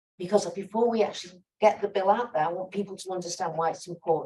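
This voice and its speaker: Using a dark, mellow tone, a woman with an American accent speaks with ordinary pitch variation. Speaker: sociologist and activist panelist. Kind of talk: panel Q&A answer. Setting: conference side event with audience. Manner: animated, conversational with fillers.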